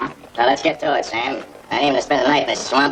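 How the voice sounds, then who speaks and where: A raspy, put-on character voice. It speaks at a very fast pace. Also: man, fairly high pitch for a man. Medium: short film. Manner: blunt, gruff.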